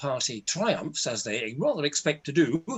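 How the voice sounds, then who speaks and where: This man has an English accent. He talks at a fairly slow pace. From England. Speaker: university lecturer. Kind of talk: webinar presentation.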